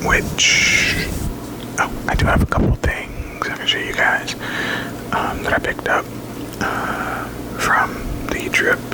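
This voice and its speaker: Whispering at a very slow pace, with long, frequent pauses and noticeable background noise. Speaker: ASMR creator. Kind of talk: ASMR whisper ramble, casual talk to camera. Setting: close to a microphone, home recording. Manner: whispered, chatty, rambling.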